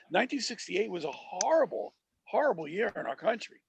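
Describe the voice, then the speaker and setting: Recorded dry and close with no echo, a man with an American accent talks at a fairly quick pace. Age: 60s. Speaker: podcast co-host. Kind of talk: casual chat. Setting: studio booth. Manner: halting, repetitive.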